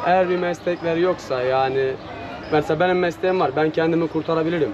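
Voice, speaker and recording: A man's high-pitched voice at a fairly quick pace, fairly even in intonation, with audible room echo and noticeable background noise. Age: 20s. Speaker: ice cream vendor. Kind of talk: casual street interview. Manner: hesitant, many filler sounds.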